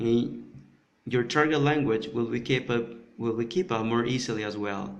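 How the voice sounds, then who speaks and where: Audible room echo surrounds a man with a Spanish accent speaking at a moderate pace. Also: medium pitch for a man, ordinary pitch variation. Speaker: polyglot conference speaker. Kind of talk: conference presentation. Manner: halting, many repetitions and fillers.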